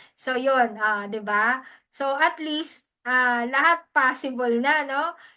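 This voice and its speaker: Against a quiet background, a woman projects a raised, high-pitched voice with a bright, sharp tone. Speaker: hosting skills mentor. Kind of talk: online training session.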